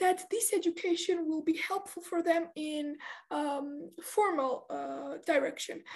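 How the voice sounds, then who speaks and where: Somebody with a Georgian accent talks at a fairly slow pace. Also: woman. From Georgia (country). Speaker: debate trainer and judge. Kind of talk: interview. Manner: halting, many fillers.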